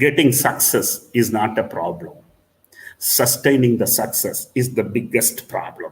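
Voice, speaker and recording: Somewhat breathy, the voice proceeds at a fairly slow pace with ordinary pitch variation. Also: man, medium pitch for a man. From South India. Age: 60s. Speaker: diagnostics business owner. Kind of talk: conference keynote speech.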